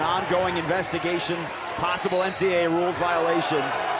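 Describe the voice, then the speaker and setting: A man talks over loud background noise. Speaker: play-by-play announcer. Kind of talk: live sports commentary. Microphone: headset.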